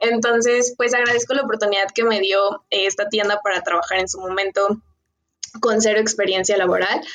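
A woman's normal speaking voice, medium in pitch, at a moderate pace with very even loudness and fairly even intonation. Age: 20s. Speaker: nutrition consultant and entrepreneur. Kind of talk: interview.

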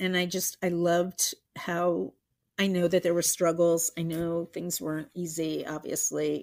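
Her fairly low voice moves at a fairly slow pace as the woman speaks. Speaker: mother of a guest host, interviewed. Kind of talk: casual interview. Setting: remote recording with own microphone. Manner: animated.

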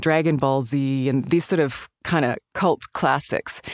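The voice comes in a Canadian accent at a fairly slow pace, with monotone, flat intonation and a dry, close sound with no echo. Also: woman. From Alberta, Canada. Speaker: actress and voice actor. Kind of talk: casual interview.

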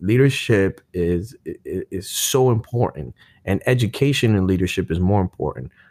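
A man's fairly low voice with a New York accent, lively intonation, a moderate pace and hardly any pauses, in a very clean recording with a silent background and a dry, close sound with no echo. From Brooklyn, New York. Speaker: Marine veteran. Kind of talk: casual interview chat. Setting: studio in a cafe.

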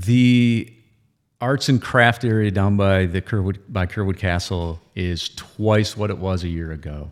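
A man speaks in a normal speaking voice with an American accent. His pitch is fairly low and his pace fairly slow. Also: ordinary pitch variation. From Michigan, Owosso. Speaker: festival president. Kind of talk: casual interview chat. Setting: studio.

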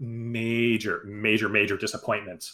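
In a very clean recording with a silent background, a man with a medium-pitched, normal speaking voice talks at a fairly slow pace. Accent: American. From New Jersey. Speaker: baseball podcast co-host. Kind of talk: casual chat.

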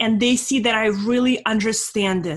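A woman speaks at a fairly slow pace in a fairly high, somewhat breathy voice. Her intonation stays fairly even. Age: 40s. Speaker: business consultant. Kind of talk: interview.

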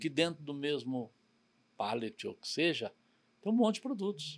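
Lively intonation from a man at a moderate pace, on a very clean recording with a silent background. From São Paulo, Brazil. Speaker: logistics company president. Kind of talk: interview conversation.

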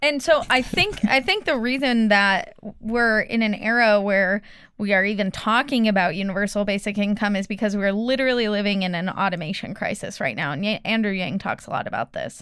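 Here is a woman with an unremarkable speaking voice, medium in pitch with ordinary pitch variation, at a fairly quick pace. The recording is very clean, with a silent background. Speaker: student. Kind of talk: casual chat.

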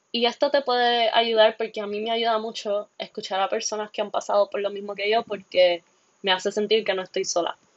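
A woman's fairly high-pitched voice at a fairly quick pace, with fairly even intonation. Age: 20s. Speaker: podcast host and biology student. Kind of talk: solo podcast monologue. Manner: halting, with fillers.

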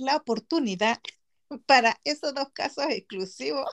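The woman's high voice carries lively intonation as she talks fairly slowly. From Gran Canaria, Spain (born in Chile, moved at six). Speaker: podcast host. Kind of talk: casual chat.

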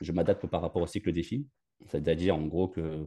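Against a quiet background, a man talks in a very deep, low pitch with a dark, mellow tone. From Paris region (Val-d'Oise). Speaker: football fitness coach. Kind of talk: interview. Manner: halting, many repetitions.

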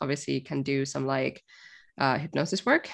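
A woman with a Finnish accent speaks at a very deep, low pitch. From Finland. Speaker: music industry marketer and coach. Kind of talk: podcast interview. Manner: casual, hesitant with fillers.

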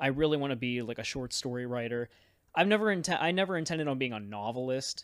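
A man talks at a very fast pace in a medium pitch. His intonation is lively. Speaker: podcast co-host. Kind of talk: casual chat.

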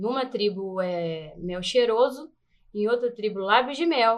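An ordinary speaking voice is heard at a fairly slow pace. Its pitch varies in an ordinary way. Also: woman. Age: 30s. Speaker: beauty pageant contestant and dancer. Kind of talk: casual interview chat.

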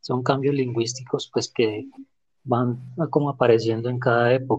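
A man speaks in a somewhat breathy voice at a moderate pace. His pitch is medium and his intonation fairly even. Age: 30s. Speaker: podcast guest. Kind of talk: prepared talk in discussion.

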